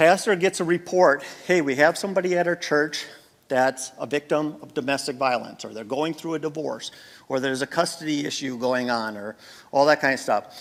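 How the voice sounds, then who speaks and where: Moving fairly quickly, a man speaks at a fairly high pitch with ordinary pitch variation and big swings in loudness. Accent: American. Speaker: former police officer and safety trainer. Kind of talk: conference talk. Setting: stage with audience. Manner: abrupt, direct.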